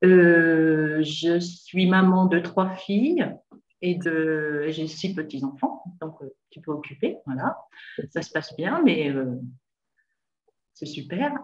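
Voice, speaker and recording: A fairly low-pitched female voice at a very slow pace, with ordinary pitch variation, big swings in loudness and long, frequent pauses. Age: 60s. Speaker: retired nurse, coaching client. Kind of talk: interview testimony. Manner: hesitant, many fillers.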